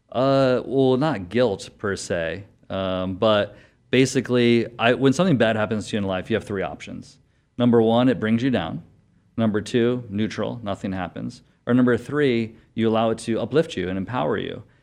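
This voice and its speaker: Against a quiet background, a man speaks at a moderate pace in a normal speaking voice, medium in pitch with ordinary variation. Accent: American. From Connecticut. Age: young. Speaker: doctor. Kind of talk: interview.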